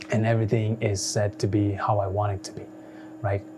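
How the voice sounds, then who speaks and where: Noticeable background noise runs beneath a man whose voice sits fairly low in pitch. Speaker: software tutorial youtuber. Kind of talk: tutorial. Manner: casual, repetitive with many fillers; unedited, conversational.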